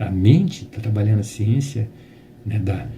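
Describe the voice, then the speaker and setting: A somewhat breathy male voice, dark and mellow in tone. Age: 60s. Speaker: spiritist lecturer. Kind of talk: religious talk. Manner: halting.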